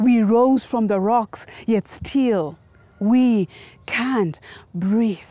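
A woman speaks at a very slow pace in a dark, mellow tone, with long, frequent pauses and very even loudness. Her pitch varies in an ordinary way, in a dry sound with no echo. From Kenya. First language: Gikuyu. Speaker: spoken word poet. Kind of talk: poetry performance. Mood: solemn, impassioned. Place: open country.

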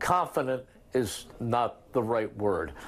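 A man with an American accent talks at a medium pitch with vocal fry. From United States, Philadelphia. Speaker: radio play-by-play announcer. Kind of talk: interview answer. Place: home room. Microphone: lapel.

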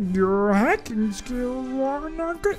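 This is a put-on character voice that sounds female, pitched high. Clear background noise sits behind it.

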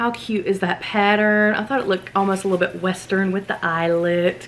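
A woman speaks with a Southern US accent. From US South. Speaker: lifestyle vlogger. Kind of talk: casual chat. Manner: animated. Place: home room. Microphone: camera far.

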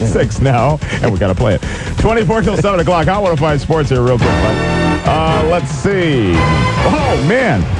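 A man speaks at a fairly slow pace, the sound dry with no echo. Loud music plays in the background. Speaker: radio DJ. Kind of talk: morning radio show banter. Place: studio.

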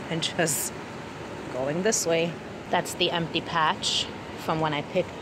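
Noticeable background noise surrounds a woman's voice, which sounds dry with no echo. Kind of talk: casual vlog chat. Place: garden. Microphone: phone near.

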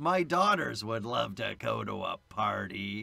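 A put-on character voice, raspy in texture. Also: man, fairly slow pace. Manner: creepy.

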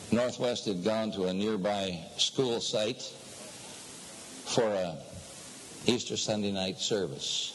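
A man speaks in a fairly low pitch. Noticeable background noise can be heard. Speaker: preacher. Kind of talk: sermon. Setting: echoey room.

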